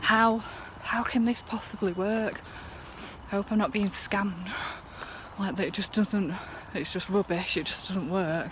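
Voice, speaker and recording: A woman of medium pitch with a northern English accent, at a fairly slow pace with long, frequent pauses, amid noticeable background noise. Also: fairly even intonation. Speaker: vlogger. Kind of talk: casual vlog. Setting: outdoors, walking home. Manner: slightly lisping, slurry.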